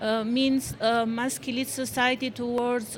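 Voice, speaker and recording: Speaking at a very slow pace, a woman with an Albanian accent has a fairly high pitch and a monotone, flat intonation. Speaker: HIV activist, panelist. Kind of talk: panel discussion. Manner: halting.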